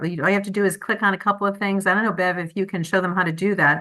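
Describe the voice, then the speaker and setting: Her voice sits at a medium pitch, and the woman's tone is bright and sharp. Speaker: realtor association government affairs chair. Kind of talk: webinar panel presentation. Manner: fast.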